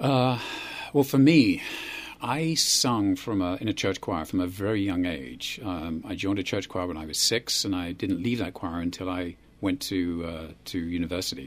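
A man with a British accent talks at a moderate pace in a very deep, low pitch, his intonation lively. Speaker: guest. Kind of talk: casual chat. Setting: studio.

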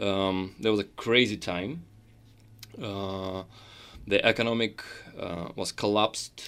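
The speaker talks at a very slow pace with a Russian accent, fairly even intonation, and long, frequent pauses. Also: man, fairly low pitch for a man. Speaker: concert pianist. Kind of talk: interview. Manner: halting, many fillers.

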